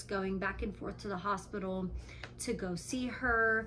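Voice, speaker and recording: A woman with an American accent speaks fairly slowly, with audible room echo around her. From Nevada. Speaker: vlogger, stay-at-home mom. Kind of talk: casual vlog talk to camera. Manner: frequent ums, conversational.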